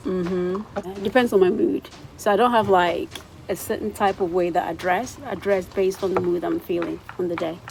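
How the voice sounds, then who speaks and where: Ordinary pitch variation against noticeable background noise. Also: woman, medium pitch for a woman, moderate pace. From Ghana. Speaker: vlogger. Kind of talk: interview Q and A.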